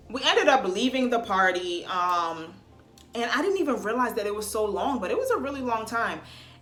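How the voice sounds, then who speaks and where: A woman's fairly high, animated voice with lively intonation at a fairly quick pace, with noticeable background noise and audible room echo. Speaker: vlogger. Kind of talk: storytime vlog. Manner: not loud.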